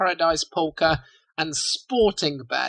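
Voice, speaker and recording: The sound is dry and close, with no echo. A man with a non-native accent speaks at a fairly slow pace with ordinary pitch variation. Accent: non-native British-style English. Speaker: podcast host. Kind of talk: interview.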